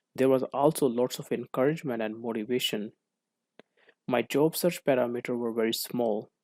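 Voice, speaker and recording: A man with a non-native accent talks at a moderate pace, his medium pitch carrying fairly even intonation. The sound is dry and close with no echo, on a very clean recording with a silent background. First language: not English. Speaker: co-op student. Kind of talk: class presentation. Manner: formal.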